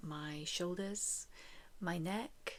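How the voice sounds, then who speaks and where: Here is a woman's voice. She is soft-spoken. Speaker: chronic illness vlogger. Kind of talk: casual talk to camera.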